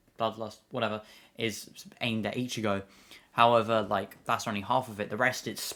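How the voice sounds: A natural reading voice is heard throughout.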